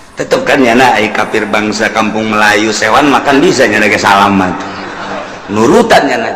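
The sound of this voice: Strong room echo surrounds a man's bright, sharp tone. He talks at a moderate pace.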